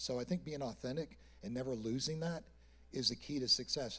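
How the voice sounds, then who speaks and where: Here a man talks at a fairly quick pace with a medium pitch and ordinary pitch variation. It is a normal speaking voice. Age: 60s. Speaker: artist manager. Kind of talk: panel discussion.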